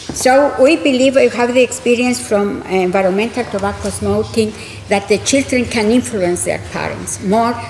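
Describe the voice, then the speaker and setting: Noticeable background noise and audible room echo accompany a woman whose fairly high pitch shows ordinary variation. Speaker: scientist, committee president. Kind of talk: conference presentation.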